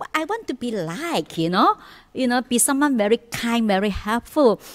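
The background stays quiet. A woman's speech proceeds at a moderate pace. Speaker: Buddhist nun teacher. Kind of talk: sermon. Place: hall.

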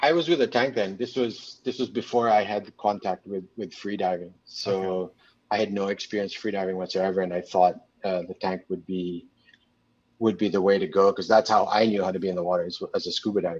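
With an unremarkable speaking voice, a man talks at a fairly quick pace, his fairly low pitch showing ordinary pitch variation. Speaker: photographer and magazine publisher; guest. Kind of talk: casual interview. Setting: video call. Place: home room. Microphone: video call.

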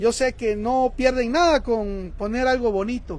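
There is no echo around this man's voice, and the sound is dry. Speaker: shop host running a live stream. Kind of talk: casual live-stream talk to viewers. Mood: warm, appealing. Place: shop.

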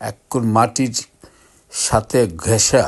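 The man's voice is somewhat breathy and medium in pitch. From Bangladesh, Brahmanbaria. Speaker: video blogger. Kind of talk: casual vlog narration. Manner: halting.

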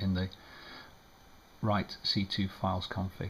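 The speaker mumbles in a somewhat breathy voice. Light background noise can be heard. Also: man. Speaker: amateur radio operator. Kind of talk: screen-recorded tutorial narration. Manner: hesitant, mumbling. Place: home room.

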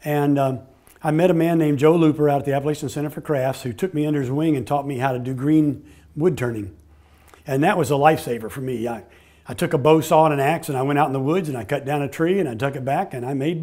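A man speaks at a very fast pace in a dark, mellow tone. The background is quiet. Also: ordinary pitch variation. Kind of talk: interview answer. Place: workshop. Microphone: lapel.

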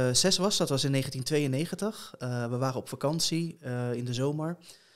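Against a quiet background, a man talks at a moderate pace. His voice is fairly high, with ordinary pitch variation. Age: 30s. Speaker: blind competitive gamer and streamer; blind competitive gamer, streamer. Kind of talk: interview conversation. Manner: hesitant, many filler sounds. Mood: calm, reflective storytelling. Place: home room. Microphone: studio mic.

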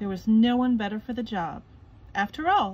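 The recording presents an unforced reading voice.

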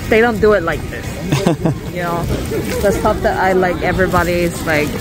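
The recording is dry with no echo, and clear music can be heard behind it. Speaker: vlogger shopping. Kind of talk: casual vlog chat. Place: market.

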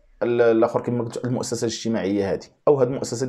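Faint music in the background behind a man talking at a fairly quick pace with ordinary pitch variation. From Morocco. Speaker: YouTube commentator. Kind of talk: video monologue commentary. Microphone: lapel.

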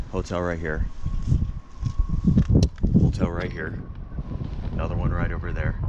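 Loud background noise surrounds a man whose voice comes through dry, with no echo. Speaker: travel vlogger. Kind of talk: casual vlog chat. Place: street. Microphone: phone near.

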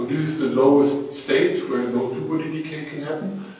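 A man speaks with ordinary pitch variation in a room with strong echo. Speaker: physics lecturer. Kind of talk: lecture. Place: hall.

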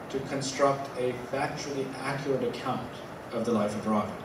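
A man is speaking with noticeable background noise. Room echo is audible. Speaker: academic lecturer. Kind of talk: lecture. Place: hall.

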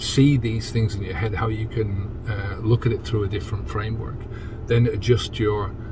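Over noticeable background noise, a man talks at a moderate pace and fairly low pitch, with fairly even intonation and a dry sound with no echo. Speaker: sobriety coach. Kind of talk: casual vlog chat. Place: car. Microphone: phone near.

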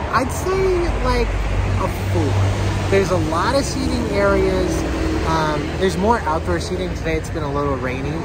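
Against loud background noise, the speech goes at a moderate pace with long, frequent pauses. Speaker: travel vlogger. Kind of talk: casual vlog chat. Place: street. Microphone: phone near.

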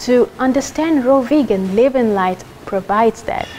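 A woman speaks over light background noise. Her pitch swings very widely. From Kenya. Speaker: culinary school graduate. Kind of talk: testimonial. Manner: animated. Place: hall. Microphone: lapel.

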